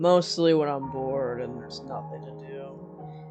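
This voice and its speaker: Music can be heard behind the voice. A man talks at a moderate speed. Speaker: amateur story narrator. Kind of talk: horror story narration.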